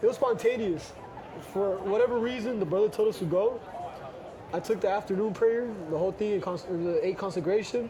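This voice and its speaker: Over noticeable background noise and audible room echo, a man with a high pitch and ordinary pitch variation talks at a fairly quick pace but with long, frequent pauses. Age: young. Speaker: missionary. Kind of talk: casual chat. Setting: outdoors in a plaza, eating. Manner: casual, code-switching Spanglish.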